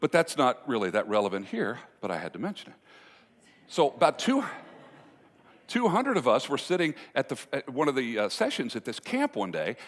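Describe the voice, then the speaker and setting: A man with vocal fry speaks at a fairly high pitch, making very wide pitch swings and leaving long, frequent pauses. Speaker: motivational speaker on communication and relationships. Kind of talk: live speech to an audience, storytelling. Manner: conversational, humorous, engaging.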